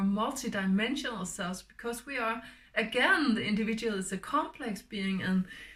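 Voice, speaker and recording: Speaking with a Danish accent, a woman has a fairly high pitch. Noticeable background noise runs behind her. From Denmark. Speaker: spiritual healer. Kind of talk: spiritual talk. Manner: halting.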